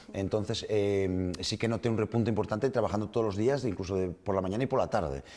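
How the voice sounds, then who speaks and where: A man's fairly low voice, a plain, everyday voice, with ordinary pitch variation over a quiet background. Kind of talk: interview answer. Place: studio.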